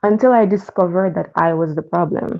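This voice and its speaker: A Jamaican accent comes through. The speech moves at a moderate pace. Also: woman. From Jamaica, Portmore, Saint Catherine. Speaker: caller. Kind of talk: casual chat.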